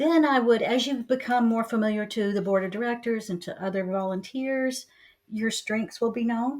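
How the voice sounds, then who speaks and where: This woman has an ordinary speaking voice with a fairly high pitch. She talks at a moderate pace with ordinary pitch variation. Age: 60s. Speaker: community leader and real estate professional. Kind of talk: interview podcast.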